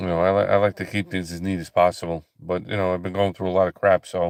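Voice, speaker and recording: A man with a very deep, low voice talks in a flat monotone over a very clean recording with a silent background. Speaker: livestreaming ministry host. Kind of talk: casual live stream chat with viewers. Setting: live broadcast. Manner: halting, many fillers and repeats.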